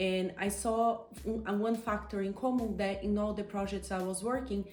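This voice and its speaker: In a Brazilian accent, a woman speaks at medium pitch and a moderate pace with monotone, flat intonation. The room echoes audibly, and background noise is noticeable. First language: Portuguese. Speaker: coach and entrepreneur. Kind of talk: interview. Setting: outdoors on a terrace.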